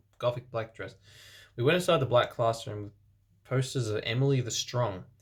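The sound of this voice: Unforced voice reading a text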